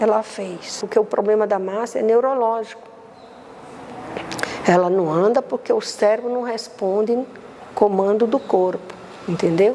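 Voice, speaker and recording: Noticeable background noise runs behind a woman with a fairly high pitch and fairly even intonation. She moves at a fairly slow pace, leaving long, frequent pauses. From Brazil, Recife. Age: 70s. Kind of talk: interview testimony. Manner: halting, repetitive.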